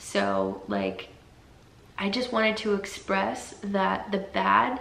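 A woman's voice amid noticeable background noise. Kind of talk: casual talk to camera. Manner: soft-spoken, hesitant.

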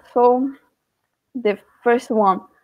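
Speaking very slowly in a Portuguese accent, a woman uses a high pitch with ordinary pitch variation against a quiet background. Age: 20s. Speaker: student; guest teacher presenting a class. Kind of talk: lecture. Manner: halting. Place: home room. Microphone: webcam.

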